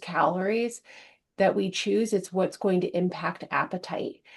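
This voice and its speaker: The speech comes at a fairly slow pace over a quiet background. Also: woman. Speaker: weight loss program instructor. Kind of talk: recorded program lecture.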